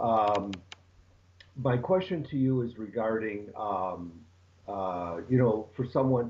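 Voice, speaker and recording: With long, frequent pauses, a man at medium pitch speaks very slowly with lively intonation. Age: 60s. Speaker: caller asking a question. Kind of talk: live stream Q&A question. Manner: halting, many fillers.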